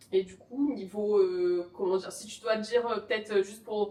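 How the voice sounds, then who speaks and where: A woman's medium-pitched voice stays monotone and flat in intonation as she talks at a moderate speed. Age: 30s. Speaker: youtuber, podcast host. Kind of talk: casual chat. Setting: podcast recording.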